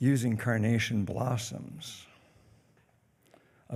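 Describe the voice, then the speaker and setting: A man's fairly low, dark, mellow voice with vocal fry, very slow pace and ordinary pitch variation, plus audible room echo. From US Midwest, northern Michigan; partly raised in Spain. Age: 70s. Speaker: congregation elder, guest speaker. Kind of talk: sermon-style personal talk. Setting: church service.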